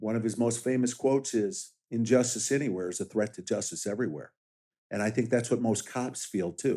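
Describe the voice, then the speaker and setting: A man speaks at a medium pitch in a dark, mellow tone with ordinary pitch variation. His moderate pace comes through on a very clean recording with a silent background. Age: 60s. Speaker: sheriff candidate and police officer. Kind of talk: interview.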